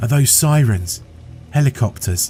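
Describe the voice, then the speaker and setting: In a put-on character voice, a man whispers shakily at a moderate pace. Background noise is clearly audible. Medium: read story. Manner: whispering, shaky.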